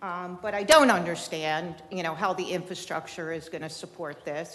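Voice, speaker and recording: In a room with audible echo, a woman talks in a fairly low pitch with fairly even intonation. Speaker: local resident speaking at public comment. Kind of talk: public comment at city meeting. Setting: city commission meeting chamber. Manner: loud.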